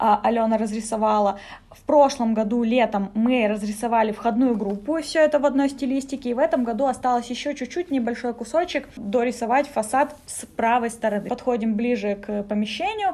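A woman speaks at a moderate pace with a high pitch and ordinary pitch variation, and there is noticeable background noise. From Sakha (Yakutia), Russia. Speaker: manager of a youth community space. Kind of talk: interview, casual conversation. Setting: on location in a community space.

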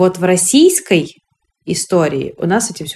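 A woman's plain, everyday voice, fairly low in pitch, with lively intonation and a fairly slow pace. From Russia, Moscow. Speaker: women's rights activist, NGO founder. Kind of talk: podcast interview.

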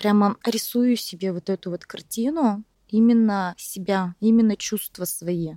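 Recorded very cleanly with a silent background, a woman with a dark, mellow tone and medium pitch talks at a very slow pace, with ordinary pitch variation and a dry, close sound free of echo. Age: 30s. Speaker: entrepreneur, speech therapist. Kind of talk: personal testimony in interview.

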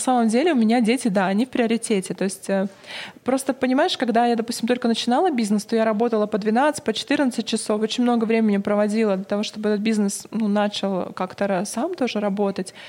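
Her voice is fairly high for a woman, with a dark, mellow tone. She speaks at a fairly quick pace with very even loudness and ordinary pitch variation. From Russia, Novosibirsk. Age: 40s. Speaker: PR agency founder. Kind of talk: interview.

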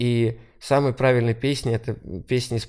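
A plain, everyday voice, fairly slow with fairly even intonation, on a very clean recording with a silent background. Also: man. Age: 30s. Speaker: singer-songwriter and music producer. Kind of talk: casual chat.

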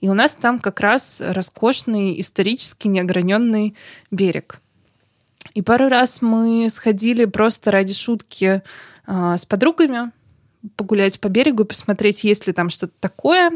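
A woman speaks at a fairly high pitch and a fairly slow pace, with ordinary pitch variation and long, frequent pauses. The recording is very clean and dry, close and without echo, with a silent background. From Saint Petersburg, Russia. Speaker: local historian and blogger. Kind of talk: interview. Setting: studio.

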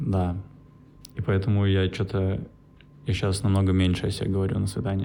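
This man's fairly low voice has a dark, mellow tone and fairly even intonation. His loudness stays very even, broken by long, frequent pauses. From Russia, St. Petersburg. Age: 20s. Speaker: podcaster. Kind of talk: solo monologue. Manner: halting.

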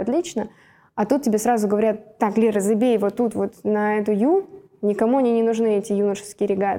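Her voice is fairly high with a dark, mellow tone. The woman moves at a fairly quick pace with fairly even intonation. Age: 20s. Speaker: athlete. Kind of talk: casual chat.

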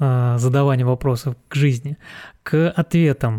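On a very clean recording with a silent background, dry and close with no echo, a man with a dark, mellow tone and fairly high pitch speaks at a fairly slow pace with ordinary pitch variation. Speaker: podcast host. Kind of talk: casual chat.

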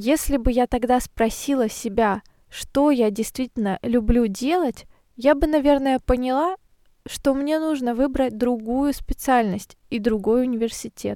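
Speaking at a fairly slow pace, a woman with a high pitch and a dark, mellow tone uses ordinary pitch variation, her voice dry and close with no echo. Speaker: Russian language teacher podcaster. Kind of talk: scripted narration for language learners. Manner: slow and clear.

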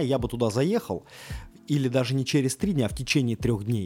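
Ordinary pitch variation runs through this dark, mellow tone. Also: man. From Russia. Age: 30s. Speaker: podcast host. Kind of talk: casual monologue. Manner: halting, with many filler sounds.

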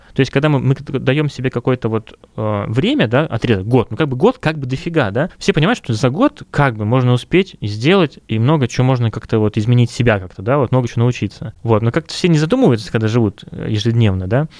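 A man speaks very fast, with hardly any pauses, at a medium pitch and with ordinary pitch variation. The sound is dry and close, with no echo. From Russia, Kurgan. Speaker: music school founder and music teacher. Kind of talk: casual interview.

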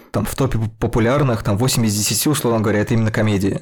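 A man speaks in a normal speaking voice at medium pitch, fairly quickly, with ordinary pitch variation. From Russia. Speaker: podcast host, film critic. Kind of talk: casual panel discussion.

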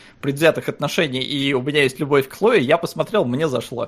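At a very fast pace, a man talks in a fairly high voice. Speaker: podcast co-host. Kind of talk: casual chat.

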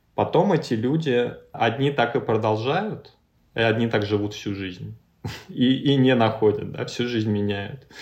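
This man has a normal speaking voice at a medium pitch. He talks fairly slowly with ordinary pitch variation. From Russia, Ryazan. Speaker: creative agency founder. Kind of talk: interview. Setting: video call.

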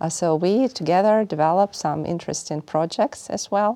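A woman speaks with a Russian accent in a dark, mellow tone and ordinary pitch variation. The recording is very clean with a silent background and a dry, close sound with no echo. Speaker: finance professor. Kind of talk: interview.

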